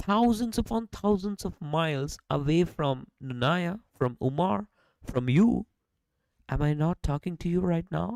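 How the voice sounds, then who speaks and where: Spoken with a non-native accent at a fairly slow pace, the lively intonation comes through in a dry, close sound with no echo. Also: woman, fairly low pitch for a woman. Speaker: podcast host. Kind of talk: casual chat. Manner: animated.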